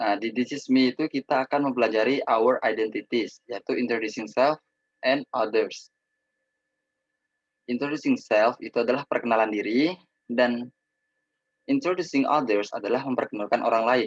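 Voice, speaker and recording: The sound is close and dry, without any echo. It is a normal speaking voice, and its pitch varies in an ordinary way. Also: man, medium pitch for a man, moderate pace. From Indonesia, Probolinggo, East Java. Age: 20s. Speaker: student teacher. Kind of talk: lecture.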